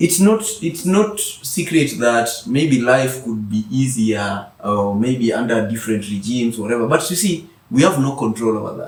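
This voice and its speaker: A man's medium-pitched voice with lively intonation at a moderate pace, amid noticeable background noise and audible room echo. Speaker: author and mentor. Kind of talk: interview conversation.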